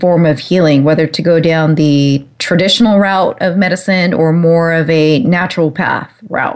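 This is a woman with a normal speaking voice and a fairly low pitch. She speaks at a fairly slow pace with ordinary pitch variation. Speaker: radio host. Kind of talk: radio interview. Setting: internet talk radio. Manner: warm, upbeat.

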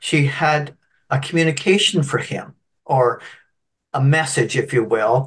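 A fairly high-pitched man talks in a somewhat breathy voice. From Canada (Scottish-born, moved at three). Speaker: spiritual medium and minister. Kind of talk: interview storytelling. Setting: video call.

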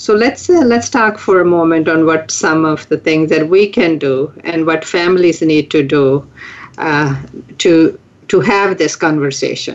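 A woman with an American accent has an unremarkable speaking voice, a fairly low pitch, ordinary pitch variation and very even loudness, speaking at a fairly slow pace. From California. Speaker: radio show co-host. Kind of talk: talk radio discussion.

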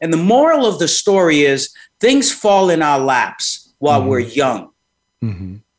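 A man with a New York accent speaks at a moderate pace in a high voice that makes very wide pitch swings. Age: 60s. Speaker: psychologist. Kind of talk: interview.

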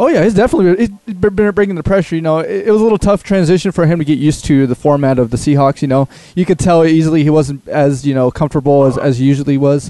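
Speaking at a very fast pace, a man with a dark, mellow tone and a fairly high pitch keeps his loudness very even. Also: ordinary pitch variation. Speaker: producer and sports talk co-guest. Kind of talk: casual sports chat. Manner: casual, filler-heavy.

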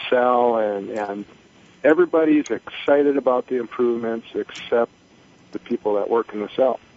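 A man at a medium pitch and moderate pace, with noticeable background noise. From North Dakota. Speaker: lean manufacturing specialist. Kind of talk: phone-in call. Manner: halting, many fillers.

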